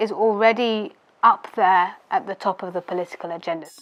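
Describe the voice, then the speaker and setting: Against a quiet background, a woman speaks with a British accent. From United Kingdom. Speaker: policy adviser. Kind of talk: interview answer.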